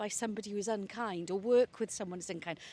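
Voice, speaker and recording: A woman speaks with a Welsh Valleys accent and a dark, mellow tone. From Wales, South Wales valleys. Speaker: senior broadcasting executive. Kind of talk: interview conversation. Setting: outdoors, walking in a park.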